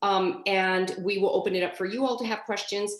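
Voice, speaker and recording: Her medium pitch and fairly even intonation mark this woman's speech. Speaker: project manager, trainer. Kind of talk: training webinar. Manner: fast; informal, filler-heavy.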